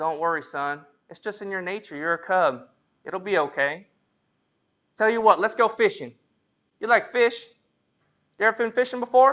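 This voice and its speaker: A man's put-on character voice, high in pitch and drawling, at a moderate pace with long, frequent pauses. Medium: solo performance. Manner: folksy drawl, starts with "well".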